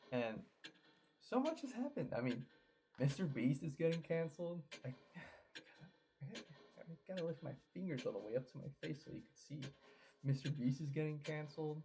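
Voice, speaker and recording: A soft-spoken man with a fairly high pitch, a dark, mellow and somewhat breathy tone, a fairly quick pace, ordinary pitch variation, big swings in loudness and long, frequent pauses. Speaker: gaming YouTuber. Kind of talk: casual vlog monologue. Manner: halting, repetitive.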